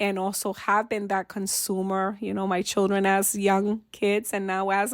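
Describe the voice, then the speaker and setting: A woman at a moderate pace and medium pitch, in a very clean recording with a silent background. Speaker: family support advocate and podcast co-host. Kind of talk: casual podcast conversation.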